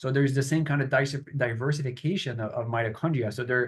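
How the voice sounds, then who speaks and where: A man speaks fairly quickly with a Canadian accent, his pitch fairly high. His voice is somewhat breathy and his intonation fairly even. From Quebec, near Montreal. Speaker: professor. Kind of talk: interview.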